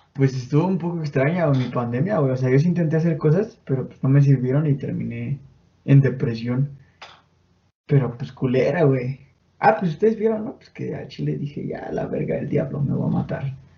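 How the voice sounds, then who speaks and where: A man with a fairly high pitch, somewhat breathy, at a moderate pace, with ordinary pitch variation and big swings in loudness. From Mexico, State of Mexico (Chimalhuacán). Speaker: podcast host. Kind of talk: casual chat. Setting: home bedroom.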